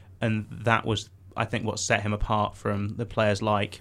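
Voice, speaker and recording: Over a silent background in a very clean recording, a man speaks in a fairly low pitch with flat, monotone intonation. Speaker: student radio host. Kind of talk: casual chat.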